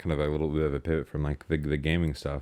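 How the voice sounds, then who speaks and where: Fairly quick in pace, a man speaks in a very deep, low pitch with a dark, mellow tone. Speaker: podcast co-host. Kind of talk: casual chat. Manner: fast; slurred words.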